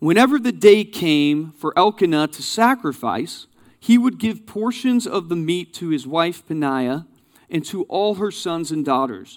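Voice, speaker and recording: A man with a high pitch uses lively intonation at a fairly slow pace. The recording is very clean, with a silent background. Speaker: guest preacher. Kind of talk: sermon. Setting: church with live translator.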